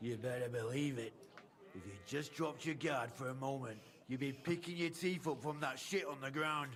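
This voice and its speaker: Against clear background noise, a man puts on a gruff character voice at a medium pitch, with ordinary pitch variation and a moderate pace. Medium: video game. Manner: coarse, gruff.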